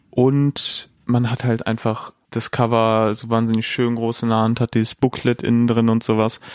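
On a very clean recording with a silent background, a man of medium pitch speaks at a fairly slow pace in a monotone, flat way, with hardly any pauses. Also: dry, close sound with no echo. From Dortmund, Germany. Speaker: podcast co-host. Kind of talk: casual chat.

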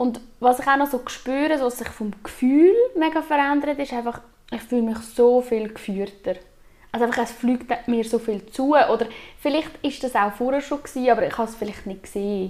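At a moderate pace, a woman talks in a high pitch. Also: ordinary pitch variation. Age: 20s. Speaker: aura reader. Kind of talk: interview.

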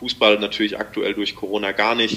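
There is noticeable background noise as a man speaks at a fairly quick pace in a fairly low pitch. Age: 20s. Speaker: amateur racing cyclist. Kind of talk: casual interview. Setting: remote call.

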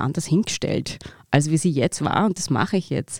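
A woman's fairly low, dark and mellow voice with ordinary pitch variation, dry and close with no echo, on a very clean recording with a silent background. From Austria, Upper Austria (Mühlviertel). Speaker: actress. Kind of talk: interview.

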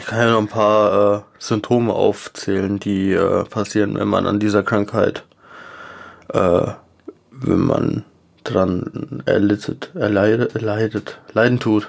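Fairly low in pitch, a man speaks at a very slow pace with fairly even intonation. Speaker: cat owner podcast co-host. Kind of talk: casual chat. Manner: partly reading aloud.

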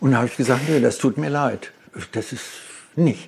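A man speaks with vocal fry. His pitch variation is ordinary. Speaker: car designer and company founder. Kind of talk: interview. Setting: in person.

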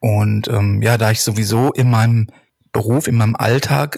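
A man's somewhat breathy, medium-pitched voice moves at a moderate pace with fairly even intonation. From Ruhr area, Germany (Hattingen). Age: 40s. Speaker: street photographer. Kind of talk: casual chat. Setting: remote browser recording.

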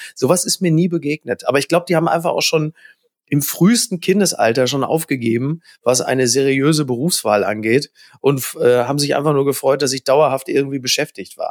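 A normal speaking voice moves at a fairly quick pace with ordinary pitch variation and a dry, close sound without echo. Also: man, fairly high pitch for a man. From Ruhr area, Germany (Recklinghausen). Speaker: journalist and TV host. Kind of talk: casual chat.

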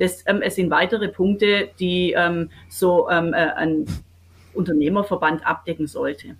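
A plain, everyday voice from a woman, medium in pitch, with ordinary pitch variation and a fairly slow pace. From Swabia, Baden-Württemberg (Kirchheim unter Teck / Wendlingen). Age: 50s. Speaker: business owner and association president. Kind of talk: interview.

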